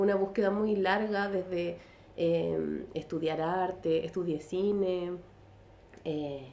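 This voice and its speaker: A Chilean accent at a very slow pace, with fairly even intonation. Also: woman, fairly low pitch for a woman. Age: 40s. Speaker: artist and illustrator. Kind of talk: casual interview chat. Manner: halting, many fillers.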